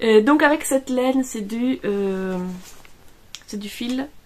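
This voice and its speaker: A fairly slow-paced woman's voice with ordinary pitch movement. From Italy. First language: Italian (speaking French). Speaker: knitting vlogger. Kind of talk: casual vlog. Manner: hesitant, many fillers.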